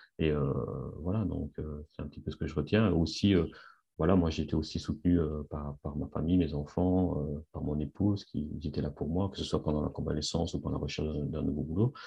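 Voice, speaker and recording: With a very deep, low voice that is somewhat breathy, a man talks at a fairly quick pace with fairly even intonation. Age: 50s. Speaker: industrial engineer returning to work after sick leave. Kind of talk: testimony interview. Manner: halting, many repetitions and fillers.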